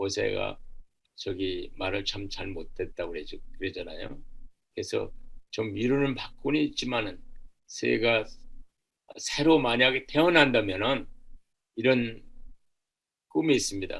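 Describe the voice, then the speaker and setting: Amid audible room echo, a man speaks at a fairly slow pace with long, frequent pauses. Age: 70s. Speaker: church social welfare volunteer, army veteran. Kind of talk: seminar lecture.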